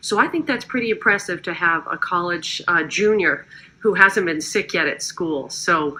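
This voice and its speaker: At a moderate pace, a normal speaking voice moves with lively intonation. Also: woman, medium pitch for a woman. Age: 50s. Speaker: network marketing distributor. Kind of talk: testimony. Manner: casual, conversational.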